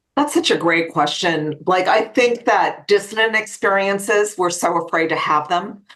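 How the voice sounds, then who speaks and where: In an ordinary speaking voice, a woman at medium pitch talks with lively intonation and hardly any pauses. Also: moderate pace. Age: 60s. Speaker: life coach and author. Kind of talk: interview.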